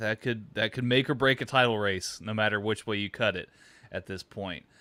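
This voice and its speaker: The recording is very clean, with a silent background. A man talks with fairly even intonation. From Texas. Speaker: football live-reaction streamer. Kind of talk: live reaction stream, casual chat. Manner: hesitant, many fillers and repeats.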